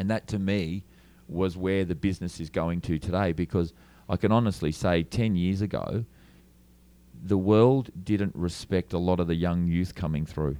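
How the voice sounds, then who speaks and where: A man with an Australian accent speaks at a very deep, low pitch in a dark, mellow tone, with fairly even intonation and a moderate pace, on a very clean recording with a silent background. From Australia, Melbourne. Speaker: lighting and LED screen business owner. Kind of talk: interview. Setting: trade show.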